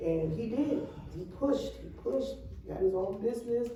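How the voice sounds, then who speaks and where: A woman talks at an unhurried, moderate speed, her pitch varying in an ordinary way, with noticeable noise behind her and audible echo from the room. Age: 60s. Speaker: nonprofit youth program leader. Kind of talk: community session address.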